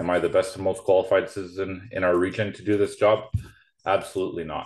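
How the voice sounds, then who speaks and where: With a Canadian accent, a man talks at a very fast pace against a quiet background. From Prince George, British Columbia, Canada. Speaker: election candidate. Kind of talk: campaign speech. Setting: video call.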